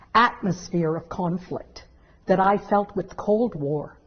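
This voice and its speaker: A woman speaks at a fairly slow pace with a fairly low pitch. Her voice is somewhat breathy. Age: 60s. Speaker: law professor. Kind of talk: interview.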